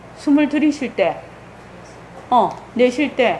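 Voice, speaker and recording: A high-pitched woman's voice with lively intonation, audible room echo and noticeable background noise. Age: 60s. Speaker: Buddhist meditation center head teacher. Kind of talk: dharma talk orientation for new members. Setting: temple Sunday service. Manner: casual, conversational.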